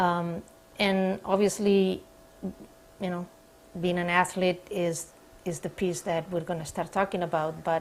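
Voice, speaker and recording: The speaker talks with a Spanish accent in monotone, flat intonation. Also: woman. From Spain. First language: Spanish or Catalan. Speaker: sport psychologist. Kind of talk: demonstration counseling session. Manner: hesitant, many fillers.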